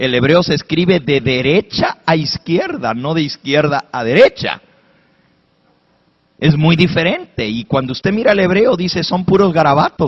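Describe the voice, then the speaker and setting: Somewhat breathy, a man speaks at a moderate pace in an animated tone with lively intonation. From Spanish-speaking, raised in an English-speaking country. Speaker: pastor. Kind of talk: sermon.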